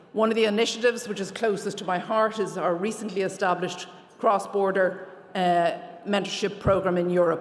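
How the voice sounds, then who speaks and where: Against noticeable background noise, a woman with an Irish accent talks at a fairly quick pace, her medium pitch held in fairly even intonation. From Ireland. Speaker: lawyer, award recipient. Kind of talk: award acceptance speech. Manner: fast.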